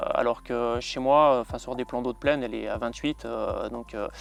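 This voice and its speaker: Music plays in the background while a man speaks fairly quickly. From France (Savoie). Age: 30s. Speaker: carp angler. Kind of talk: outdoor fishing vlog narration. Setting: outdoors at a reservoir lake. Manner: hesitant, many fillers.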